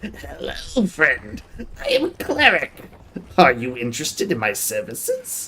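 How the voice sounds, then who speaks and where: Loud and at a moderate pace, a man performs in a put-on character voice. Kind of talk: game narrator, welcoming. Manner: loud, cheerful.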